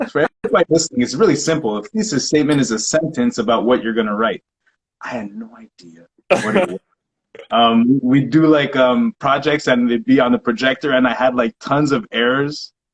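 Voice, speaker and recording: In an unremarkable speaking voice, a man with an American accent talks at a fairly quick pace and medium pitch, the sound dry and close with no echo. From Quebec, later Texas. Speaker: podcast host, former teammate. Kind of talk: interview.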